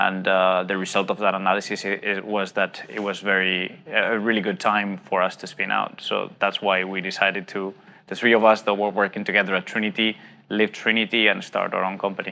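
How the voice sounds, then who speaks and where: Over background music, a man with a Spanish accent speaks at a fairly quick pace in a fairly low, monotone, flat voice. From Spain. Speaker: tech startup CEO. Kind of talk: interview. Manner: hesitant, many fillers.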